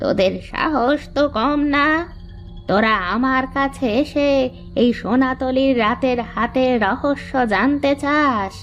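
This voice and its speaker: A female-sounding cartoonish character voice, high in pitch, speaks at a very slow pace with clear music in the background. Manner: gruff, ominous.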